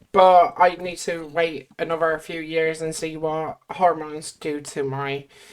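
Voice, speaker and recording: An Irish accent at a fairly slow pace, with fairly even intonation, big swings in loudness and hardly any pauses. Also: woman, very deep, low pitch for a woman. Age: 20s. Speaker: YouTuber. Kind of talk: casual chat.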